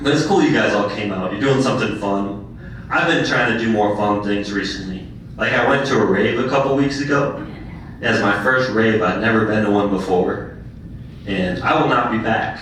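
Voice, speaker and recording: A man with an American accent speaks at a fairly low pitch and moderate pace, with ordinary pitch variation. There is noticeable background noise and audible room echo. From Minnesota, Duluth. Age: 20s. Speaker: stand-up comedian. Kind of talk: stand-up. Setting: stage with audience.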